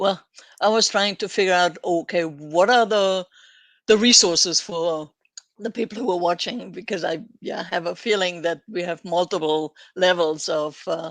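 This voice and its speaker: A woman with a fairly low pitch speaks with ordinary variation in her pitch. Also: moderate pace. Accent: non-native. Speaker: developer advocate. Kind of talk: live webinar chat. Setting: live stream webinar.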